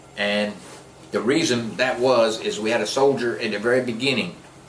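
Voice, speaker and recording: The speaker has an American accent and ordinary pitch variation, with audible room echo and noticeable background noise. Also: man. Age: 60s. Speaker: war veteran. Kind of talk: interview, personal war recollection. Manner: casual, conversational.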